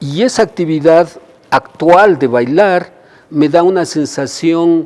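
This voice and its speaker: A man with a high voice speaks at a very slow pace, his pitch varying in an ordinary way. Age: 60s. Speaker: dancer and choreographer. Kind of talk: interview. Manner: halting.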